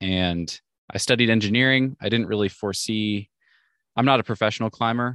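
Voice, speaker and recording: In an unremarkable speaking voice with an American accent, a man speaks at a fairly quick pace with ordinary pitch variation, in a dry, close sound with no echo and a quiet background. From US Northwest, Washington State. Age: 30s. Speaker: rock climber and podcaster. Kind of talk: casual interview chat. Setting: video call from inside a van.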